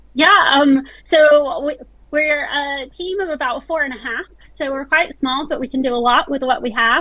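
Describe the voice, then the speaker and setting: A high-pitched woman's voice with an American accent. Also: ordinary pitch variation, moderate pace. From United States. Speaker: tech startup chief executive. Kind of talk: panel discussion. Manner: hesitant, many fillers.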